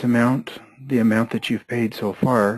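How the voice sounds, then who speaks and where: Pitched at a medium level, a man speaks fairly slowly in a flat, monotone intonation. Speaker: software trainer. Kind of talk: tutorial.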